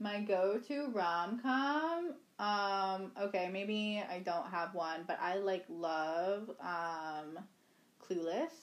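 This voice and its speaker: A woman's medium-pitched voice, very slow in pace, with lively intonation. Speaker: podcast co-host. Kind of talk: casual chat.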